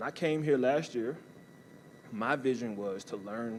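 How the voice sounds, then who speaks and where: A man speaks with an American accent at a medium pitch. His ordinary pitch variation comes with audible room echo. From US South, New Orleans, Louisiana. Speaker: college athletics staff, former athlete and army veteran. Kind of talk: motivational talk. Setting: stage with audience.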